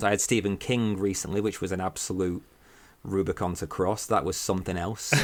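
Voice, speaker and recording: Recorded very cleanly against a silent background, a man with a northern English accent speaks in a fairly low voice with fairly even intonation. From northern England. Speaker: horror podcaster and writer. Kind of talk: casual chat.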